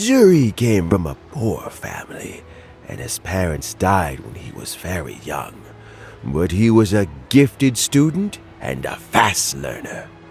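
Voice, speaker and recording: A man speaks in a put-on character voice with a fairly low pitch. His pace is fairly slow, and music is clearly audible behind him. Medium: video game. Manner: warm, chuckling, unhurried.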